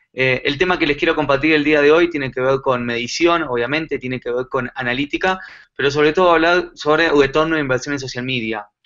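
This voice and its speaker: Fairly even intonation comes at a fairly quick pace. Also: man. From Argentina. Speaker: digital marketing consultant. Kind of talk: conference talk. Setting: live online conference. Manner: many filler pauses.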